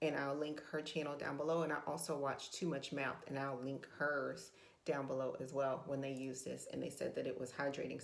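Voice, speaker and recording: A woman with vocal fry speaks at a fairly quick pace in a very deep, low pitch with fairly even intonation, and audible room echo is present. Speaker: beauty and budget vlogger. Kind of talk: makeup tutorial. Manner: casual, hesitant with fillers.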